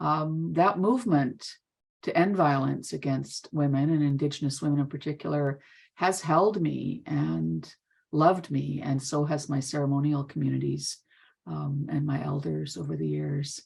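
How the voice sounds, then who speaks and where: A woman with a Canadian accent talks at a moderate pace against a quiet background. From northern Manitoba, Canada. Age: 60s. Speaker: therapist and educator. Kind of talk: conference presentation. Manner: halting.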